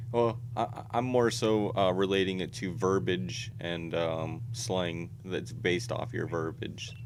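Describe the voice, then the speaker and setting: With an American accent and vocal fry, a man speaks fairly slowly at a fairly low pitch with hardly any pauses, in audible room echo. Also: lively intonation. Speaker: YouTuber. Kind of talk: casual chat.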